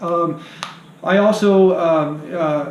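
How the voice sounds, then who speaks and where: A man talks with ordinary pitch variation in a room with audible echo, noticeable noise behind him. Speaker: vlogger. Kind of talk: monologue to camera. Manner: hesitant, many fillers.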